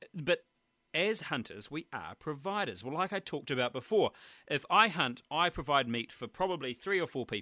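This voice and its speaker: A man with a New Zealand accent speaks in a bright, sharp tone with very wide pitch swings. The sound is dry and close, with no echo. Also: moderate pace. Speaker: hunting podcast host. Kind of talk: interview. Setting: Skype call.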